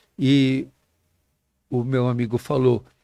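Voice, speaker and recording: On a very clean recording with a silent background, a man speaks at medium pitch in a dark, mellow tone. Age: 70s. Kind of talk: interview answer.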